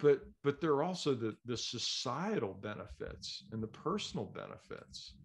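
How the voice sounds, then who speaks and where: A man's fairly high, somewhat breathy voice with very wide pitch swings and big swings in loudness, at a moderate pace with hardly any pauses. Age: 60s. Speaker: podcast host, doctor and musician. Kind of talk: interview. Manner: halting, repeats words.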